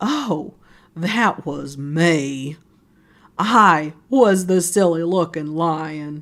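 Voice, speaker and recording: This put-on character voice has a middle pitch and moves at a very slow pace. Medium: read story.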